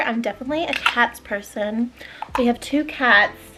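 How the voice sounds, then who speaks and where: Heard over noticeable background noise, the voice has a relaxed tone and a moderate pace. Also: woman. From Canada until age 11, then Australia. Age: 20s. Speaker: lifestyle vlogger. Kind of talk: casual chat. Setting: at home. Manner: relaxed, chatty.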